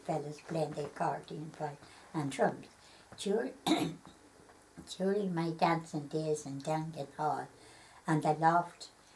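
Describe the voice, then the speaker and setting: Somewhat breathy and very deep and low in pitch, a woman speaks at a fairly slow pace with fairly even intonation. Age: 90s. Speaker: elderly local interviewee. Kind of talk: reading aloud; oral history interview. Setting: at her home. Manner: halting.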